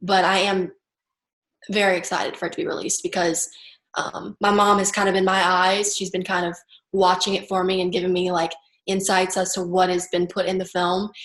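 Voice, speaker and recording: A woman with an American accent talks at a fairly quick pace in a medium pitch, her intonation monotone and flat, over a quiet background. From US South, Baton Rouge, Louisiana. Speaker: suicide attempt survivor. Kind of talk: interview.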